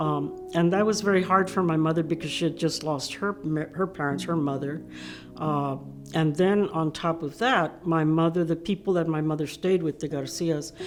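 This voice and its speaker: Against noticeable background noise, a woman with an American accent speaks in a fairly low pitch with fairly even intonation. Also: moderate pace. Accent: Mexican American Texan English. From Texas, San Antonio. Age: 70s. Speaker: civil rights activist. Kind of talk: interview testimony. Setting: virtual panel recording.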